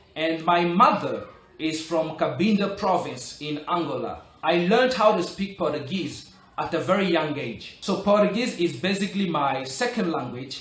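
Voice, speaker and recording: A high-pitched man at a fairly slow pace with lively intonation, amid noticeable background noise and audible room echo. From Republic of the Congo. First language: French. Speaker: English learning vlogger. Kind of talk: motivational tutorial.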